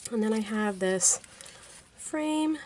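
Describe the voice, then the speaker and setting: A woman speaks at a very slow pace with a fairly high pitch. Noticeable background noise can be heard. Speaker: card-making crafter. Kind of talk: tutorial. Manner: casual, conversational.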